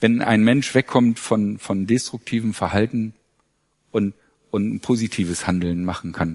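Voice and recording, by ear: A man speaks in a fairly low voice with a slightly mellow tone. His intonation stays fairly even at a moderate pace.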